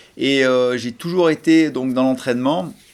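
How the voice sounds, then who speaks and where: Pitch varies in an ordinary way while the delivery keeps a moderate pace. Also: man. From French Alps (Hautes-Alpes). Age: 40s. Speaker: snowboard coach. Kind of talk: interview testimony. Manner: hesitant, many fillers.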